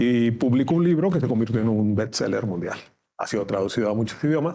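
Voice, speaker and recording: A man's dark, mellow tone at a fairly quick pace, with lively intonation. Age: 60s. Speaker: judge. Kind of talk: interview. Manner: halting.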